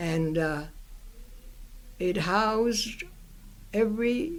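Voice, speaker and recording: Speaking very slowly, a woman talks with an American accent. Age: 90s. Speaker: author. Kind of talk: interview answer. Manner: hesitant, halting.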